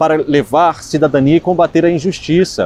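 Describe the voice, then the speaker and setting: Fairly quick speech in a Minas Gerais accent with fairly even intonation. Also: man. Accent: Minas Gerais Brazilian Portuguese. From Minas Gerais, Brazil. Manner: earnest, solemn.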